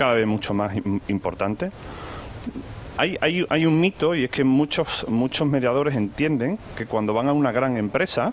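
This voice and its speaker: With a slight Andalusian accent, a man speaks at a medium pitch and a moderate pace with lively intonation over noticeable background noise. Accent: slight Andalusian (Seville). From Seville, Spain. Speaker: corporate risk manager, panel speaker. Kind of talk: conference talk. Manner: hesitant, with many repetitions and fillers.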